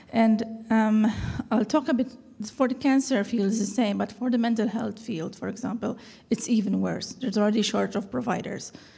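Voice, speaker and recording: A woman's fairly high voice with vocal fry, a dark, mellow tone and fairly even intonation. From Malta. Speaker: audience member. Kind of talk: audience comment.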